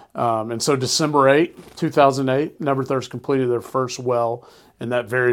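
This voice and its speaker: This man's voice sits at a medium pitch with a slight Southern US accent. He talks at a fairly quick pace with fairly even intonation. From Alabama. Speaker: nonprofit executive. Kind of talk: casual interview chat.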